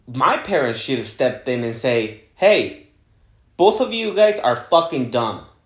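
Speaking at a fairly slow pace, a man swings his pitch very widely while audible room echo surrounds his voice. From Guadalajara, Mexico. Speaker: podcast host, real estate agent. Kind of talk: casual chat.

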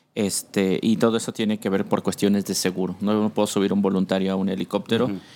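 On a very clean recording with a silent background, a man speaks in a normal speaking voice, fairly low in pitch, at a fairly quick pace with fairly even intonation. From Mexico City. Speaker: air rescue paramedic. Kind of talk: interview.

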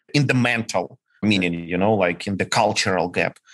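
A man with a Ukrainian accent, lively intonation and a moderate pace. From Ukraine. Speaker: startup founder and CEO. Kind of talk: casual interview conversation.

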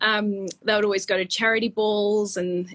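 A woman speaks with a New Zealand accent. Her intonation stays flat and monotone. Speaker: fashion stylist. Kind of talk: casual interview. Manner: halting, many fillers.

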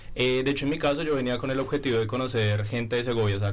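Over noticeable background noise and audible room echo, a man with a medium-pitched voice speaks very fast with fairly even intonation. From Bogotá, Colombia. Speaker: master's student, sociologist. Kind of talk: radio panel discussion.

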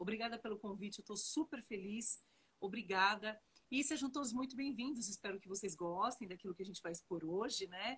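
A woman in an ordinary speaking voice, fairly high in pitch with ordinary pitch variation, at a fairly quick pace. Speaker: tax law professor. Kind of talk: interview on tax law. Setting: joined via Instagram live.

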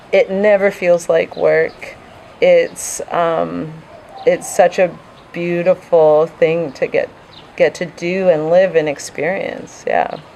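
A woman talks very slowly, with noticeable background noise behind her. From Vancouver, Canada. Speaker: intuitive coach. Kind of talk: casual interview.

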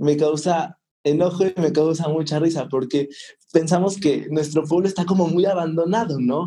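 A man speaks at a moderate pace in a fairly high pitch, his dark, mellow tone held at a very even loudness with fairly even intonation. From Mexico, northern Sierra of Puebla. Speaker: local tourism promoter. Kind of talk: casual interview.

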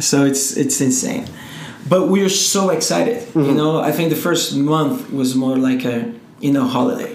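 There is noticeable background noise as a man with a Portuguese accent speaks at a moderate pace. His fairly high pitch swings very widely while his loudness stays very even. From Brazil, Rio de Janeiro. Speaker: entrepreneur. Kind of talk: casual interview.

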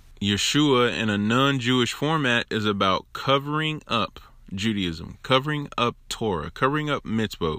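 On a very clean recording with a silent background, a man with a medium pitch and a bright, sharp tone speaks at a fairly slow pace with ordinary pitch variation. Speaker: religious teacher giving a Torah portion talk. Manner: energetic, conversational.

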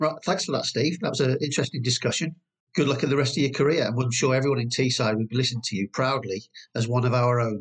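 The man talks at a very fast pace with very even loudness. His voice is somewhat breathy, with ordinary pitch variation. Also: medium pitch for a man. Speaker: podcast host. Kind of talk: casual interview chat.

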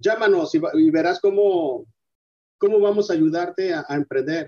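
A man's speech has ordinary pitch variation, heard with a dry, close sound and no echo. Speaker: entrepreneur, detergent manufacturer. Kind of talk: interview. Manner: halting, repeats words.

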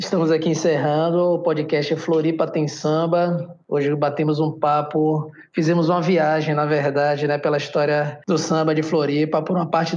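The speech runs with hardly any pauses. Its pace is moderate. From Salvador, Bahia, Brazil. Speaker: podcast host. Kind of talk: interview.

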